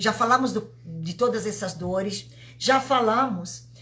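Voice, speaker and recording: Amid noticeable background noise and audible room echo, a woman speaks at a very slow pace with lively intonation. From Italy. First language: Italian (speaking Portuguese). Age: 50s. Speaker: vibrational therapist. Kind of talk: live stream talk. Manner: halting.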